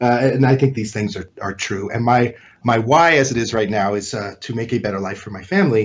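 At a fairly quick pace, a man with a medium-pitched, somewhat breathy voice speaks with ordinary pitch variation and big swings in loudness. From California. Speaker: realtor. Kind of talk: interview.

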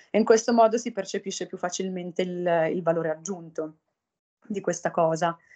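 A woman's fairly low voice with a dark, mellow tone, fairly even intonation and a moderate pace. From northern Italy. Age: 30s. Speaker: humanitarian aid worker. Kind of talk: interview. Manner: halting.

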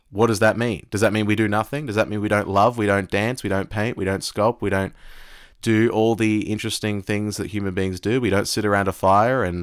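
With an Australian accent, a man talks at a fairly quick pace in a fairly low pitch and fairly even intonation, recorded very cleanly against a silent background. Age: 20s. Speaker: podcast host, tutor. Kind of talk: monologue on philosophy. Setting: live audio app.

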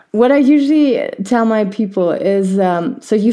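The voice has a dark, mellow tone and lively intonation at a fairly slow pace. The recording is very clean, with a silent background. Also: woman. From Germany. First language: German. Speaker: physiotherapist and podcast host. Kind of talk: podcast interview.

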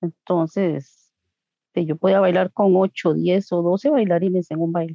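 A woman speaks in a fairly low voice with fairly even intonation. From Costa Rica, Coronado. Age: 40s. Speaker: homemaker and swing dancer. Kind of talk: interview. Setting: video call.

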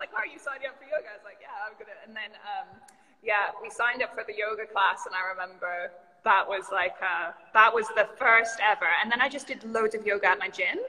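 A woman's fairly high voice at a fairly quick pace, with big swings in loudness and noticeable background noise. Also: ordinary pitch variation. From Canada, British Columbia. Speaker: yoga studio founder. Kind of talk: casual interview chat. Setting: video call livestream.

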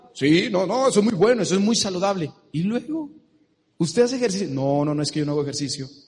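A man with a Mexican accent talks very fast in a high pitch for a man, his animated tone full of very wide pitch swings. Audible room echo surrounds his voice. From Mexico. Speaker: business seminar speaker. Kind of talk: motivational seminar talk. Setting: stage with audience.

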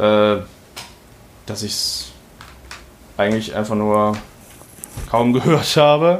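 A man at a fairly slow pace with ordinary pitch variation, amid noticeable background noise. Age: 20s. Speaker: podcast host and amateur rapper. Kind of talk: casual chat.

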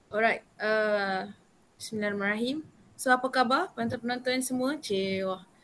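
This is an unremarkable speaking voice at a moderate pace. Its pitch varies in an ordinary way. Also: woman, fairly high pitch for a woman. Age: young. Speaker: youth council member and vaccine centre assistant. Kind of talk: casual interview.

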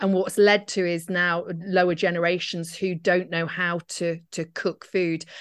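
A woman speaks at a fairly slow pace with fairly low pitch. Her intonation is monotone and flat. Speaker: GP and podcast host. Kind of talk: casual interview chat.

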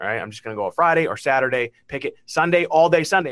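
At a very fast pace, a man with an American accent talks at a fairly high pitch with vocal fry. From Massachusetts, Beverly (Boston area). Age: 40s. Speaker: marketing company CEO. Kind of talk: interview. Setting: video call.

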